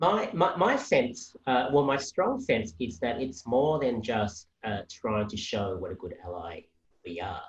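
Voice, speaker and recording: At a fairly slow pace, a man with an Australian accent speaks in a somewhat breathy voice of medium pitch. His pitch swings very widely, and his loudness rises and falls sharply. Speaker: policy analyst. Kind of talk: panel discussion.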